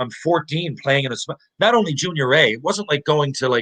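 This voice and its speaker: Speaking at a moderate pace in a Newfoundland accent, a man comes across with a dry, close sound that has no echo. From Newfoundland, Canada (Mount Pearl). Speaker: former pro hockey player. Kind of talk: podcast interview storytelling. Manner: animated.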